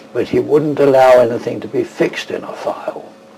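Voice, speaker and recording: A man is speaking. Background noise is noticeable. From England, London. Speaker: tartan expert and weaver. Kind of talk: interview.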